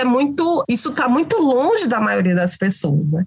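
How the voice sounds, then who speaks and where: A woman's high voice moves at a moderate pace. Her pitch swings very widely. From Brazil, Cariri region of Ceará (Crato). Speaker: communication researcher and lecturer. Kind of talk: podcast interview. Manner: halting, repeats words.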